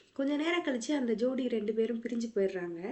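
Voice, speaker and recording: Ordinary pitch variation in a fairly high female voice, a plain, everyday voice. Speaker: movie recap narrator. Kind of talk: movie recap narration. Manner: casual, conversational.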